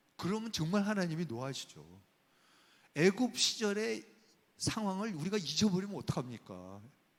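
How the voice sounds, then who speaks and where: The voice makes very wide pitch swings and leaves long, frequent pauses. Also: man, high pitch for a man, moderate pace. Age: 60s. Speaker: professor. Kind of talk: lecture. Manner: animated.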